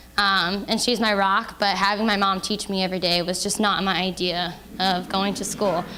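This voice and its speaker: Delivered at a moderate pace with hardly any pauses, a woman's medium-pitched voice in an American accent stays monotone and flat. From Indiana, US. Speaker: author and HIV awareness speaker. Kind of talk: public talk to an audience.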